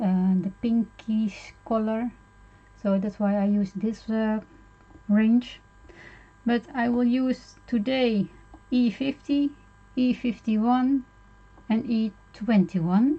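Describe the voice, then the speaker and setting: Speaking very slowly with long, frequent pauses, a woman with a non-native accent uses a fairly high pitch and ordinary pitch variation over noticeable background noise. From Netherlands. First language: Dutch. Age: 50s. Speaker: art tutorial streamer. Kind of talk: tutorial. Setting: live stream. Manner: halting, many fillers.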